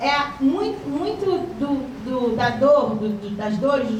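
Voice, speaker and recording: A woman with a high pitch speaks with very wide pitch swings, with noticeable background noise and audible room echo. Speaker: education official. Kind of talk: lecture.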